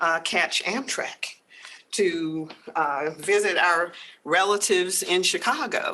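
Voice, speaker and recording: A woman with a medium pitch and a bright, sharp tone, with an American accent. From US South, Georgia. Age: 60s. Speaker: legal aid program director. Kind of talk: lecture.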